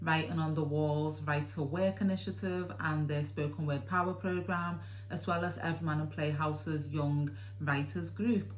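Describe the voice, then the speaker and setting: Over background music, a woman with a Liverpool accent and a very deep, low pitch speaks at a moderate pace with very wide pitch swings. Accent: Scouse. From Liverpool, England. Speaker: theatre producer. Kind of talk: interview answer.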